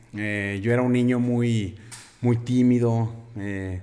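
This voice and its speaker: A man's voice carries audible room echo. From Mexico, Aguascalientes (Jesús María). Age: 30s. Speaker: bodybuilder and nutrition student. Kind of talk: interview conversation.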